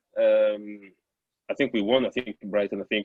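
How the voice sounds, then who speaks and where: A man speaks at a moderate pace with a French accent. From France. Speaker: former footballer. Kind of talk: interview.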